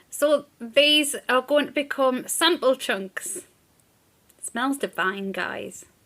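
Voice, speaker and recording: A woman with a British accent speaks at a very slow pace. Her voice is high in pitch, with a bright, sharp tone and lively intonation. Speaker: small business owner and vlogger. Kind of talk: casual vlog. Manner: chatty.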